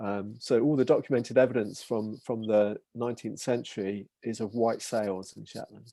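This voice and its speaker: A man with an English accent speaks at a moderate pace and medium pitch, his dark, mellow tone rising and falling sharply in loudness over fairly even intonation with hardly any pauses. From England. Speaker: maritime heritage researcher. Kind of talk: online talk Q&A.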